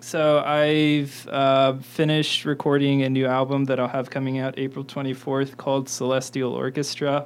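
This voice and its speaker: A man in an American accent talks at a moderate pace with hardly any pauses, a medium pitch and monotone, flat intonation, with music in the background. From Indiana, US Midwest. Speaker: musician. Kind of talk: radio interview. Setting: radio studio. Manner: halting.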